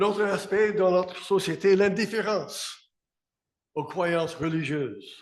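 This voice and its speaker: Very slow speech from a man with a high pitch, an English accent and fairly even intonation. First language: English (speaking French). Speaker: pastor. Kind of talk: sermon.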